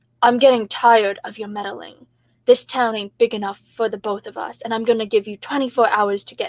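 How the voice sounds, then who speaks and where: A gruff, female-sounding put-on character voice, fairly high in pitch and at a fairly quick pace. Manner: gruff, threatening.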